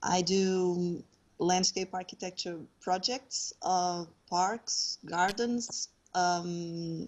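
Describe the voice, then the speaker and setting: A woman at a very slow pace in a Portuguese accent, with medium pitch and fairly even intonation. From Portugal. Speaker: landscape architect, patient advocate. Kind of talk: interview. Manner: halting.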